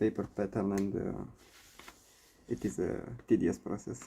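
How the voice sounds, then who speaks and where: A quiet man's voice, fairly low in pitch, with ordinary pitch variation. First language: not English. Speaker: cross-stitch streamer. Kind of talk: casual live stream chat. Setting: home live stream. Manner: quiet, sparse talk while counting stitches; hesitant.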